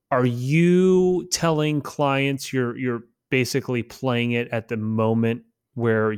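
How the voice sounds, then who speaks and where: This is a plain, everyday voice from a man at medium pitch, with ordinary pitch variation. The recording is very clean, with a silent background. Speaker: podcast host. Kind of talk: casual podcast chat.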